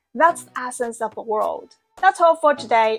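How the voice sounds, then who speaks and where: With music in the background, a woman speaks at a high pitch with lively intonation. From China. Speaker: video essayist. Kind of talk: scripted narration.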